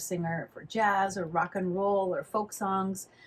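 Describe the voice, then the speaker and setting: Somewhat breathy speech at a moderate pace, with an American accent. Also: woman. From California. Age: 60s. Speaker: flamenco dancer and teacher. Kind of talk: interview conversation.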